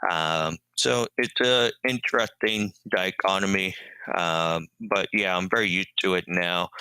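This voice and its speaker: A man speaks at a very deep, low pitch with fairly even intonation. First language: sign language. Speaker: deaf-blind educator and marathoner. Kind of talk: interview. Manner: many filler ums.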